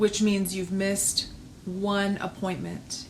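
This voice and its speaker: Her voice has a somewhat breathy quality. The woman speaks at a medium pitch. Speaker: pilates instructor and studio owner. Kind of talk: video message to clients. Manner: slow; hesitant, many fillers.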